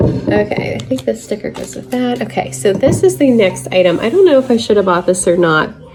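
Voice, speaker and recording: Very wide pitch swings from a woman, with noticeable background noise. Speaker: thrift reseller, channel host. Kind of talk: haul review, casual talk to camera.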